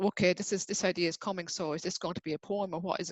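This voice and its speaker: Rushing at a very fast pace, a woman speaks in a fairly low pitch with monotone, flat intonation. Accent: Irish. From Ireland. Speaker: writer and poet. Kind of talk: interview. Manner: halting.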